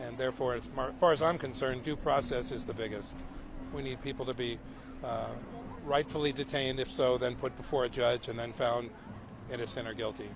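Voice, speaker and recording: A man speaks at a fairly quick pace in an unremarkable speaking voice. His pitch is medium and his intonation stays fairly even. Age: 60s. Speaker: protester. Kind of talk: street interview.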